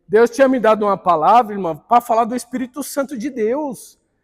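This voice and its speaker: Extremely high in pitch, a man's voice carries an animated tone. His pitch variation is ordinary. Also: dry, close sound with no echo. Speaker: Bible school teacher. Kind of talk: church Bible class lecture.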